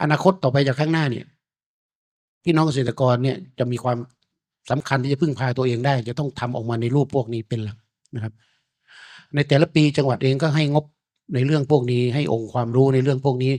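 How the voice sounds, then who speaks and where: A man's unremarkable speaking voice at medium pitch, fairly even in intonation, with a dry, close sound and no echo. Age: 50s. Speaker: deputy provincial governor. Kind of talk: keynote speech.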